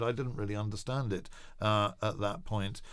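Here a man with an English accent talks at a fairly quick pace in a fairly low pitch. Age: 50s. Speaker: evangelist and charity founder. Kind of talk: interview.

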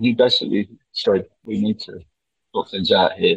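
A man speaking at a moderate pace. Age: 60s. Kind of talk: interview.

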